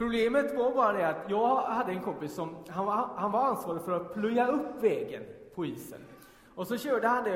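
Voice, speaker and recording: Over noticeable background noise and audible room echo, a man speaks at a fairly quick pace with lively intonation. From Gothenburg southern archipelago, Sweden. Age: 30s. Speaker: pastor. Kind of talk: sermon. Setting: church.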